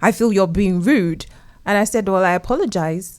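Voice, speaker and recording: A woman with a British accent, medium pitch, animated tone, ordinary pitch variation and fairly quick pace. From UK, Nigerian parents. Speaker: guest panelist. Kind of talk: panel discussion.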